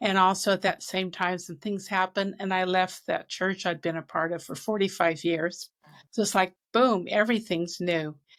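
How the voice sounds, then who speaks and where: On a very clean recording with a silent background, a woman has a normal speaking voice at a medium pitch, with fairly even intonation and a moderate pace. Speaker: author and speaker. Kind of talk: interview.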